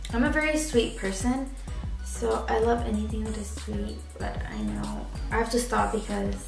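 A woman keeps a moderate pace while clear music is heard behind her. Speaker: vlogger. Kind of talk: casual talk to camera. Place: home room. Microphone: camera far.

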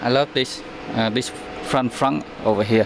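Against noticeable background noise, a man talks at a fairly slow pace in a dry sound with no echo. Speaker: vehicle owner vlogger. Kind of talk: casual vlog chat. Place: street. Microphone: phone near.

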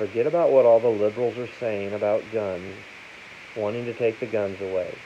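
Noticeable background noise sits under a man speaking at a medium pitch. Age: 50s. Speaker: gun seller and video host; gun seller, video host. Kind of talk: casual talk to camera. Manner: plain, unpolished speech. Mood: opinionated, persuasive. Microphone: phone near.

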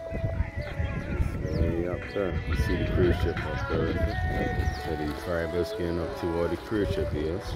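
A man talks over loud background music, and the sound is dry with no echo. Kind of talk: casual vlog commentary. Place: waterside. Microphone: phone near.

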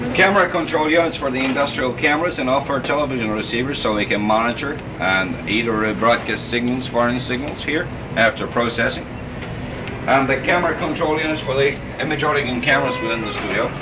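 A man talks at a very fast pace with ordinary pitch variation. There is noticeable background noise. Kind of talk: guided tour commentary. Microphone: old recording.

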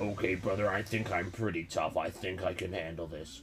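A man uses a put-on character voice with a very deep, low pitch at a fairly quick pace, with clear background noise. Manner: bravado, overdone toughness.

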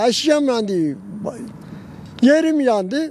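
A man speaks with a dry sound and no echo. Light background noise can be heard. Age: 70s. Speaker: roadside tea seller. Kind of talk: interview answer. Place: open country. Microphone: handheld.

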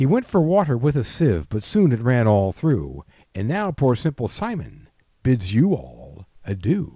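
The voice is somewhat breathy and dark and mellow in tone, moving at a fairly slow pace with very wide pitch swings against a quiet background. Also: man, medium pitch for a man. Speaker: grandfather reading nursery rhymes. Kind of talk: reading aloud.

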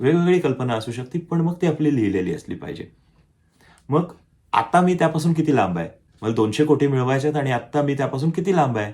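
A man's fairly high-pitched, somewhat breathy voice with lively intonation. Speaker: self-help YouTuber. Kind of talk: motivational talk to camera. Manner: conversational.

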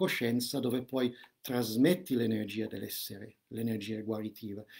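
With a plain, everyday voice, a man speaks at a medium pitch and a fairly slow pace. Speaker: holistic counselor and shaman giving a seminar. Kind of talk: live seminar with spiritual and meditative content. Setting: live online video stream.

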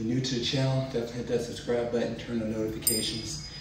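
A man at a very fast pace with fairly even intonation, amid audible room echo and noticeable background noise. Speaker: fitness channel host. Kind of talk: casual vlog outro. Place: home room. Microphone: camera far.

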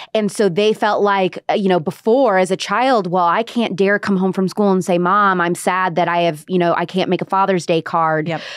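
In a quiet, dry space with no echo, a woman speaks at a moderate pace in an unremarkable speaking voice at medium pitch, her loudness very even, her intonation fairly even, and hardly any pauses. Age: 20s. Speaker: podcast host. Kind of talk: interview conversation. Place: studio. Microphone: studio mic.

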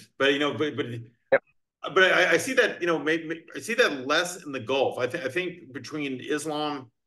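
In a quiet background, a man with an American accent speaks in a bright, sharp tone. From Virginia. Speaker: podcast host and crypto attorney; podcast host, crypto attorney. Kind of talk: casual chat. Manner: fast talker. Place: home room. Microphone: video call.

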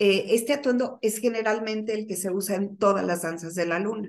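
The woman's pitch varies in an ordinary way as she talks. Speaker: remote guest. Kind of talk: interview answer. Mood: warm, calm explaining. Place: home room. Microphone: video call.

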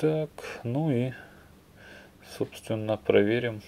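A man at a slow pace, medium pitch and ordinary pitch variation, dark, mellow tone with vocal fry.

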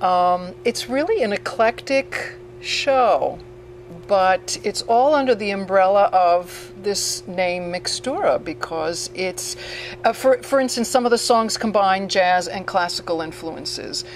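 A woman speaks at a fairly slow pace with very wide pitch swings. Music plays in the background. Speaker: interviewee. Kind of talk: interview answer. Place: bar. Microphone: handheld.

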